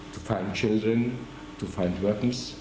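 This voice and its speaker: Amid noticeable background noise and audible room echo, a man at a medium pitch talks at a very slow pace. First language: German. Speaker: war veteran. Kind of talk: oral history interview. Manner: halting.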